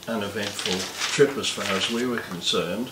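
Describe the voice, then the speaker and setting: With an Australian accent, a man talks at a moderate pace and medium pitch over noticeable background noise. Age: 80s+. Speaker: war veteran. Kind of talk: interview answer.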